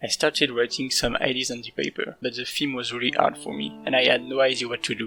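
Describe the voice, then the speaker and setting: Music plays in the background. A man with a non-native accent talks at a fairly quick pace. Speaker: indie game developer. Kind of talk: devlog narration.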